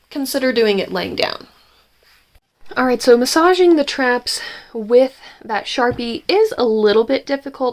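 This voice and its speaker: A woman's high-pitched, lively voice at a moderate pace, on a very clean recording with a silent background. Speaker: channel host, RSI sufferer. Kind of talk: tutorial. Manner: casual, hesitant with many fillers.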